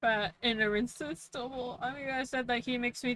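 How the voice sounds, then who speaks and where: Her pitch is high, with ordinary variation. The woman keeps a moderate pace. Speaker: VTuber gaming streamer. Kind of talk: casual live-stream chat while gaming. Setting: live stream. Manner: animated.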